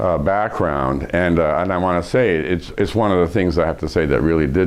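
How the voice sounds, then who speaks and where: Against noticeable background noise, a man with a very deep, low voice speaks at a moderate pace with ordinary pitch variation. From USA, raised partly in Iran. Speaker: professor and leadership expert. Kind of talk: interview. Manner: hesitant, many fillers.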